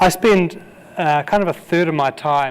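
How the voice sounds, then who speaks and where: A man speaks with a New Zealand accent and ordinary pitch variation. Noticeable background noise runs underneath. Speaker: conference keynote speaker. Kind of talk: keynote speech. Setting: conference stage with audience. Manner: halting, with repeated words.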